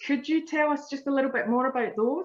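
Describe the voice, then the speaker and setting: A high-pitched woman's voice with an Australian accent. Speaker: community forum moderator. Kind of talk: Q&A moderation on video call. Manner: fast.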